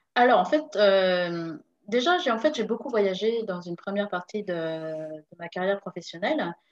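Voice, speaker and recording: The woman talks fairly slowly, her intonation lively. Her voice sits at a medium pitch. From France, Paris region. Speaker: entrepreneur and consultant. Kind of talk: interview. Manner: hesitant, many fillers.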